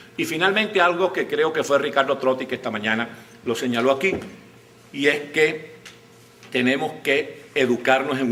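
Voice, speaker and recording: Over noticeable background noise, a man with a medium pitch speaks at a fairly slow pace with lively intonation. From Venezuela. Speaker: writer, journalist, broadcaster and politician. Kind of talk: conference talk.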